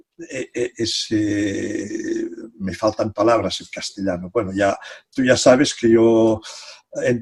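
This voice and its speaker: In a very slow delivery, a man's voice is captured dry and close with no echo. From Catalonia. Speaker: psychology professor. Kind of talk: interview. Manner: halting.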